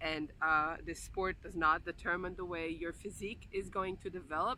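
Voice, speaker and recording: A woman speaks at medium pitch with ordinary pitch variation. Her tone is bright and sharp. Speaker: vlogger, aerial silk instructor. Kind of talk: vlog rant. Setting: outdoors by a sand mountain. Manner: halting, many fillers.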